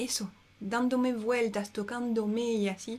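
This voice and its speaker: Very slowly, a woman speaks in a high pitch with a dark, mellow tone, captured in a very clean recording with a silent background. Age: 30s. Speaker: herbalist. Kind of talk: casual chat. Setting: at home.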